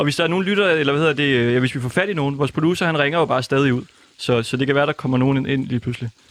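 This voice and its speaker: Holding very even loudness, a man talks at a very fast pace in a fairly high voice. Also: ordinary pitch variation. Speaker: radio host. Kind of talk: live radio chat. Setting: studio.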